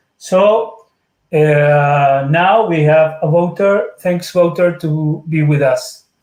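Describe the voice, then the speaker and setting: A man with a Spanish accent speaks in a high voice. His pace is very slow and his intonation fairly even. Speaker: webinar moderator. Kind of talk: formal introduction. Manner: halting.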